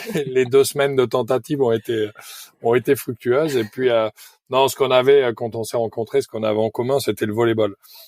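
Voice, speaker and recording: An unremarkable speaking voice from a man, with fairly even intonation and a dry, close sound with no echo. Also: medium pitch for a man, fairly quick pace. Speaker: former volleyball player, sailor. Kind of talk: podcast interview.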